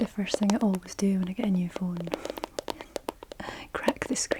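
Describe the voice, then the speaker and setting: Soft-spoken, with a Scottish accent, the speaker talks at a moderate pace over noticeable background noise. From Scotland. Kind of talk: ASMR personal attention, object triggers.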